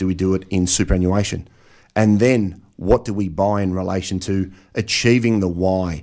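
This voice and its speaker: In an Australian accent, a man with a very deep, low pitch and a dark, mellow tone talks at a fairly quick pace with fairly even intonation, in a very clean recording with a silent background. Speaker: financial planner and author. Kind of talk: radio interview.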